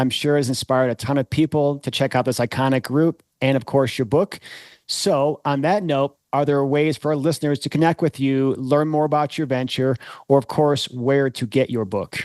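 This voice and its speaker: With an unremarkable speaking voice, a man talks at a moderate pace and fairly high pitch with fairly even intonation, the sound dry and close with no echo over a quiet background. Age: 50s. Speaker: podcast host. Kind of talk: interview.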